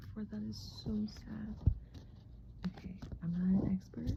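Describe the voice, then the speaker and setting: Soft-spoken delivery at a fairly slow pace. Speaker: tarot hobbyist vlogger. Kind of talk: casual vlog. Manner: halting, filler-heavy.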